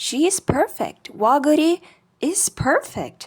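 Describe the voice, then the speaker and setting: A woman talks. Her accent is non-native. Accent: non-native English accent, self-described. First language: not English. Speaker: video essayist. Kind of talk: scripted video essay narration. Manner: casual, conversational.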